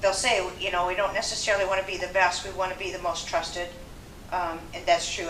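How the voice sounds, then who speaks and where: Amid audible room echo and noticeable background noise, a woman of medium pitch speaks at a fairly quick pace. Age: 70s. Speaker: home care marketer and former therapist. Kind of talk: seminar talk with audience questions. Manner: animated.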